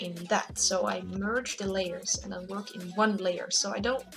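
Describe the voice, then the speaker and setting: Fairly slow speech from a woman over background music. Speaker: digital artist. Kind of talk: casual tutorial talk to camera. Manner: hesitant, casual.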